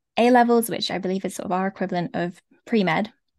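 A woman with a London accent speaks at a medium pitch. Her intonation is fairly even, and the background is quiet. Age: 20s. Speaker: former doctor turned life coach. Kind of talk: interview conversation.

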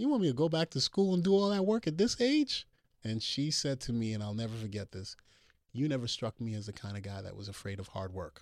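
In a Brooklyn accent, a man talks at a very fast pace with very wide pitch swings and an animated tone, on a very clean recording with a silent background. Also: medium pitch for a man. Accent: Brooklyn New York. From Brooklyn, New York. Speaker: former NFL linebacker turned doctor. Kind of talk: casual chat. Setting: studio. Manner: animated, laughs often.

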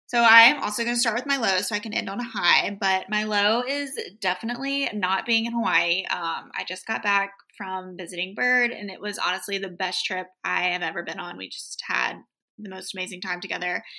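This woman has an American accent and a medium pitch with ordinary variation. Her tone is bright and sharp, and she talks at a fairly quick pace. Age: 20s. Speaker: podcast co-host. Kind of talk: casual chat.

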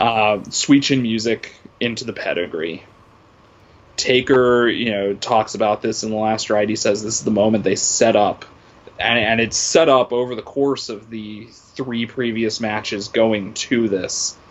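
A man with an American accent speaks at a fairly slow pace in an unremarkable speaking voice, medium in pitch with fairly even intonation. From Massachusetts. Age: 30s. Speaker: academic and wrestling fan. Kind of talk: casual chat.

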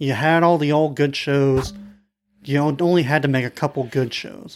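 Fairly high in pitch for a man, this ordinary speaking voice moves at a moderate pace with fairly even intonation. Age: 20s. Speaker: comic book podcast co-host. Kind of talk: casual chat.

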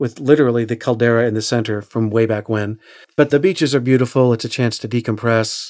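With an American accent, a man talks at a fairly quick pace in a normal speaking voice with a medium pitch. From Oklahoma. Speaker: audiobook narrator and acting coach. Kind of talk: interview.

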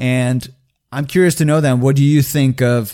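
A man with a plain, everyday voice, fairly quick pace and fairly high pitch. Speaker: podcast host. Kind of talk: casual chat.

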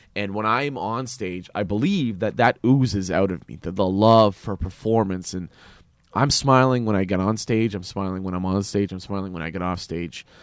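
On a very clean recording with a silent background, a man with an unremarkable speaking voice and a Canadian accent talks at a fairly low pitch and a moderate pace, with ordinary pitch variation. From Canada. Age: 20s. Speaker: actor and comedian. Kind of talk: casual interview.

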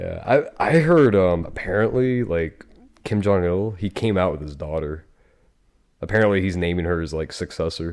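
A man speaks at a very deep, low pitch with ordinary pitch variation. His pace is moderate, and the recording is very clean with a silent background. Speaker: podcast host. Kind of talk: casual chat. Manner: casual, joking, profane.

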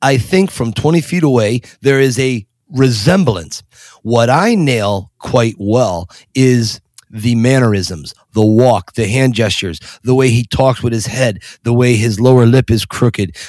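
The speaker uses a normal speaking voice with an American accent and ordinary pitch variation. Loudness stays very even at a fairly slow pace. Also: man, medium pitch for a man. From Pennsylvania (Scranton). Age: 50s. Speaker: tour guide and celebrity impersonator. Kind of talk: interview.

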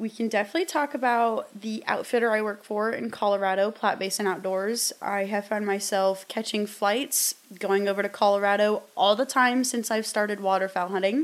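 This speaker has a Midwestern American accent and a moderate pace. The pitch varies in an ordinary way, with hardly any pauses. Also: woman, medium pitch for a woman. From US Midwest, southern Iowa. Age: 20s. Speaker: podcast host and outdoors influencer. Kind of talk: casual solo podcast talk. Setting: in front of a camera.

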